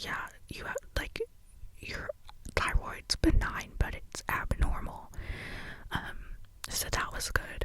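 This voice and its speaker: Whispering very slowly with long, frequent pauses, the speaker is heard over noticeable background noise. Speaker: ASMR creator. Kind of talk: ASMR whisper ramble. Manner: whispered.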